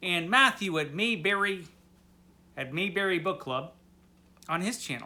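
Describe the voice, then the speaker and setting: His tone comes across bright and sharp. The man's raised, projected voice sits high in pitch. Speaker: booktuber. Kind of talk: casual video monologue.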